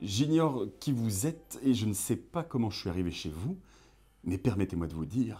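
On a very clean recording with a silent background, a man speaks at a moderate pace and a fairly low pitch, his somewhat breathy voice dark and mellow in tone, with very wide pitch swings. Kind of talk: interview.

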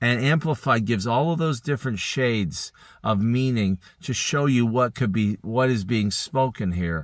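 Speaking at a medium pitch and moderate pace, a man uses ordinary pitch variation and very even loudness. The sound is dry with no echo, and the background is quiet. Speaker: Bible teacher. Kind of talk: Bible teaching. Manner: halting. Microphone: phone near.

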